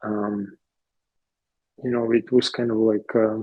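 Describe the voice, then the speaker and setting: A man with a Ukrainian accent speaks at a medium pitch and a fairly slow pace, his dark, mellow tone caught in a dry, close sound with no echo. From Ukraine. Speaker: interviewee, immigrant. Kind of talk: interview. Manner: halting, many fillers.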